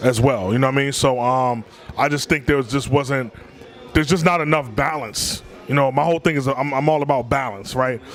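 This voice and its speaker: Fairly quick speech from a man in a normal speaking voice, medium in pitch, with ordinary pitch variation. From Washington D.C. area. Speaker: hip hop artist. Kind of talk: casual interview.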